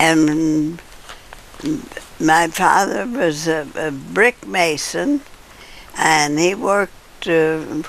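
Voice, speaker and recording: Against noticeable background noise, a woman with an American accent and a very deep, low pitch speaks very slowly with lively intonation and long, frequent pauses. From US Midwest, southern Illinois. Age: 80s+. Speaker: elderly interviewee recounting life story. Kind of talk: oral history interview. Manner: halting, with false starts.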